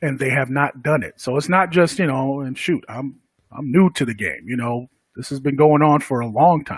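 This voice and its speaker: This man's voice sits fairly high, with ordinary pitch variation and a moderate pace, on a very clean recording against a silent background. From Connecticut. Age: 40s. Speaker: podcast host. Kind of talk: casual talk. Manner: halting, many fillers.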